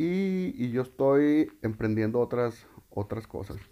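A man talks in a dark, mellow tone. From Mexico, Loreto, Zacatecas. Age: 30s. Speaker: podcaster, primary school teacher. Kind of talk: personal monologue. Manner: halting, many repetitions.

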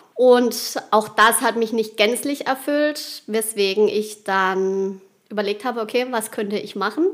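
A woman with a fairly high pitch speaks at a fairly slow pace, using ordinary pitch variation. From Baden, southwest Germany (Rheinhausen). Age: 30s. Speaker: wedding and funeral speaker. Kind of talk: interview.

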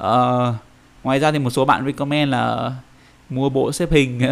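This man talks fairly slowly at a medium pitch. His intonation stays monotone and flat. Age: 20s. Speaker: finance employee. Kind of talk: casual interview chat. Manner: halting, many fillers.

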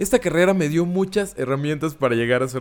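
With a Mexican accent, a man speaks in an animated tone with very wide pitch swings. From Mexico, Córdoba, Veracruz. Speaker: podcaster and photographer. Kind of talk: solo podcast monologue.

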